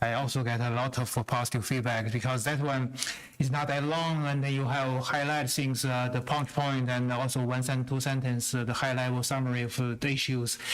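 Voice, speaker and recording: A monotone, flat voice with a non-native accent, at a fairly quick pace and very even loudness, amid noticeable background noise and audible room echo. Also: man, medium pitch for a man. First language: not English. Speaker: school board member. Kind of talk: public meeting remarks. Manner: halting.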